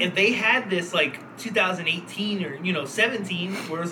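High pitch from a male speaker amid noticeable background noise. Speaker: podcast host. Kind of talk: casual banter podcast chat. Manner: profane, rambling, halting.

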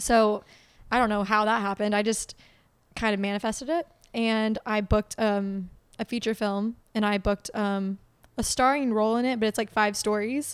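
A woman with an ordinary speaking voice and an American accent, fairly high in pitch, at a moderate pace with fairly even intonation, on a very clean recording with a silent background. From Oklahoma. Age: 20s. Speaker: model and actress. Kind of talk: casual chat.

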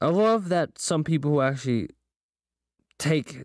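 At a moderate pace, a man speaks with very wide pitch swings in a dry, close sound with no echo. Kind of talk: casual solo podcast monologue, opinionated rant. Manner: rambling, filler-heavy, self-interrupting.

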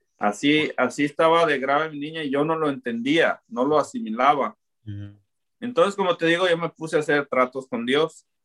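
A man talks at a moderate pace in a fairly high voice, a plain, everyday voice with ordinary pitch variation. The sound is dry and close, with no echo. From Mexico, Zapopan (Guadalajara), Jalisco. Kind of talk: faith testimony.

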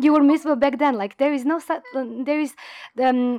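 Speaking with a Croatian accent, a woman talks at a fairly quick pace. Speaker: graphic designer and fashion illustrator. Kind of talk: interview. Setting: in person. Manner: halting, many fillers.

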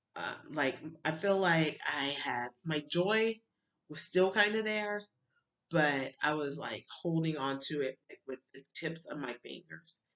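A woman with a very deep, low pitch and an American accent, lively intonation, big swings in loudness, and a fairly slow pace. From Alabama, US South. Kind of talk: personal testimony. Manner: emotional, halting.

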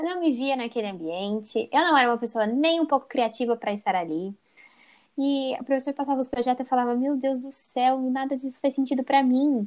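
The woman talks fairly quickly in a high voice whose pitch varies in an ordinary way. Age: 20s. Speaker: psychology student. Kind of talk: interview.

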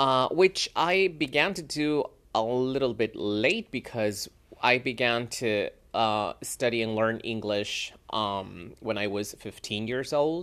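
In a Spanish accent, lively intonation at a very slow pace, on a very clean recording with a silent background. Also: man, medium pitch for a man. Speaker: English teacher; podcast host. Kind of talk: casual monologue. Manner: halting, many fillers.

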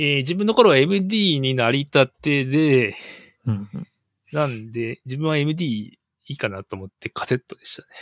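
This man has a fairly high pitch and lively intonation, speaking at a moderate pace. His loudness swings widely, and the sound is dry and close with no echo. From Japan, Shimane Prefecture. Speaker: guest engineer. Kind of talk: casual chat. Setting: video call. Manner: halting.

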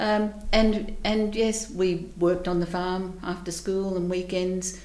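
In an Australian accent, a woman speaks at a medium pitch with a dark, mellow tone and monotone, flat intonation, and audible room echo can be heard. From Queensland, Australia. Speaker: community organisation leader, retiree. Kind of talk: casual interview.

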